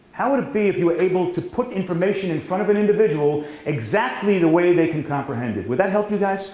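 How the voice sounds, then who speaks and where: Very fast and with hardly any pauses, a man talks in a high voice with lively intonation. Background noise is noticeable. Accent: New York. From New York. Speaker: sales trainer. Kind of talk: seminar training.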